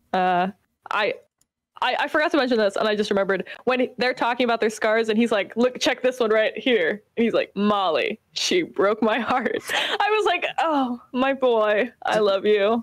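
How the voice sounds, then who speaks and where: The pace is moderate, with ordinary pitch variation. The background is quiet and the sound is dry, with no echo. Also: woman. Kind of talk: casual chat. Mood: enthusiastic, affectionate. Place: home room. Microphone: video call.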